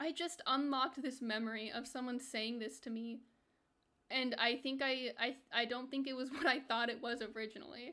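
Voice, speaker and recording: A woman speaks with a high pitch and a bright, sharp tone. Her intonation is fairly even, at a moderate pace. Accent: American. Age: 20s. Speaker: video game streamer. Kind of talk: casual livestream chat.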